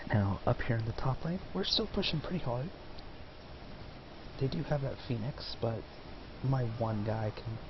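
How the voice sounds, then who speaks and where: Soft-spoken, a man at medium pitch talks at a moderate pace with lively intonation and long, frequent pauses over noticeable background noise. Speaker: gaming commentator. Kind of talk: gameplay commentary.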